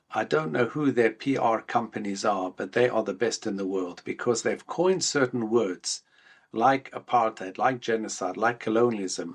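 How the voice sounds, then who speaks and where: Lively intonation runs through speech delivered with a South African accent. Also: man. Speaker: rabbi. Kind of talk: podcast interview.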